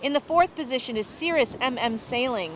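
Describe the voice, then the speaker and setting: Someone speaks at a moderate pace. Noticeable background noise runs underneath. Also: woman. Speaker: sailing race commentator. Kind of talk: live commentary. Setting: outdoors on a beach. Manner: loud.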